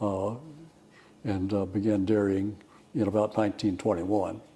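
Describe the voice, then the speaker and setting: A man with an American accent and a fairly low pitch at a moderate pace, with audible room echo. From Texas, Houston area (Addicks). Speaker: retired dairy farmer. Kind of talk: oral history interview. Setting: fellowship hall. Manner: halting, repeats words.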